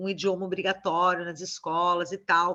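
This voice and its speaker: Speaking with a southern Brazilian accent, a woman uses a bright, sharp tone at a fairly slow pace. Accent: gaúcho Brazilian Portuguese. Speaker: university professor. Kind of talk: lecture Q&A.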